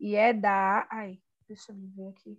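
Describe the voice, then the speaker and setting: A woman speaks with a Brazilian accent. The background is quiet. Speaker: poet and anthology editor. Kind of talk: poetry reading; interview conversation.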